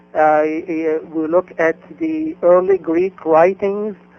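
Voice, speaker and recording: Over music in the background, a man with an Arabic accent speaks at a very slow pace in a high pitch. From Egypt, Cairo. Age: 50s. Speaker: independent egyptologist and author. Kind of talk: interview. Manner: halting, many fillers.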